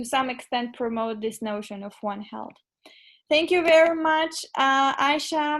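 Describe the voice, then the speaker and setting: On a very clean recording with a silent background, a woman speaks with a Macedonian accent. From North Macedonia. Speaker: social media intern, interviewer. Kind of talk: interview.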